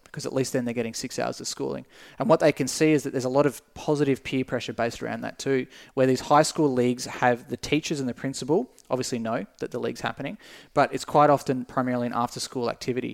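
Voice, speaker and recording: In an Australian accent, a man with a medium pitch and fairly even intonation talks at a very fast pace on a very clean recording with a silent background and a dry, close sound with no echo. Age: 20s. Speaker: esports company director. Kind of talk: casual interview chat.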